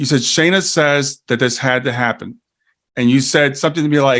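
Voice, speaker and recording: In a very clean recording with a silent background, a man uses an ordinary speaking voice at a medium pitch, with ordinary pitch variation and a moderate pace. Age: 60s. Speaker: grief educator and life coach. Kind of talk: interview.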